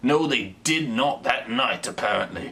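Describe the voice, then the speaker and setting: A man in an English accent, very wide pitch swings, noticeable background noise behind him. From England. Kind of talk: comedic reading of online reviews to camera. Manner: casual, rambling, joking.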